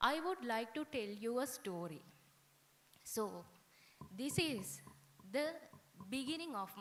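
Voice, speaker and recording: Speaking at a fairly slow pace, a woman with a Sri Lankan accent uses lively intonation. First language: Sinhala. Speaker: guest speaker. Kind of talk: ceremony speech.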